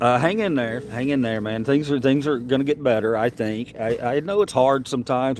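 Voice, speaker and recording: A man speaks in a Southern US accent at a medium pitch. His pace is moderate, and his pitch variation is ordinary. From US South, Mississippi. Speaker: livestreamer. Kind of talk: casual livestream chat with viewers. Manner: halting, many repetitions and fillers.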